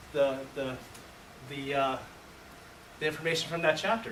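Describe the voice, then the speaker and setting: At a moderate pace, a man talks amid noticeable background noise and audible room echo. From US, born in Taiwan, moved at age two. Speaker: workshop presenter, educator. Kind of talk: conference workshop presentation. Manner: halting, many fillers and restarts.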